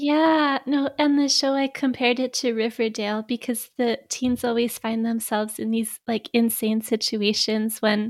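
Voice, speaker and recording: At a moderate pace and with fairly even intonation, this is an unremarkable speaking voice. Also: woman. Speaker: podcaster. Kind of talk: casual chat.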